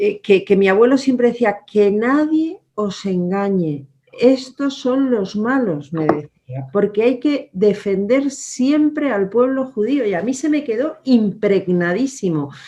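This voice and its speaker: A woman with a German accent, fairly high in pitch, very slow, with very wide pitch swings and hardly any pauses. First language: German (speaking Spanish). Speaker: politician. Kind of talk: interview.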